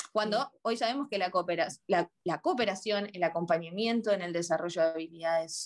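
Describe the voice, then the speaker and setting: A woman with a plain, everyday voice speaks at a moderate pace. Her pitch is medium, with ordinary pitch variation. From Argentina, Buenos Aires. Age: 30s. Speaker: psychologist. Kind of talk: interview.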